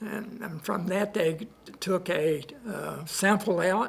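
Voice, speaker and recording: A man speaks very slowly with a Southern US accent, his voice high for a man and his pitch varying in an ordinary way. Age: 80s+. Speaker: patient. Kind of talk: testimony. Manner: halting.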